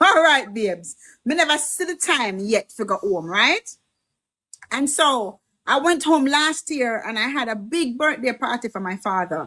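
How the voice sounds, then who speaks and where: A woman speaks at high pitch in a bright, sharp tone with very wide pitch swings. Her pace is fairly slow, and the sound is dry and close with no echo. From Jamaica. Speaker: livestream host and medical worker. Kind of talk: casual political livestream chat.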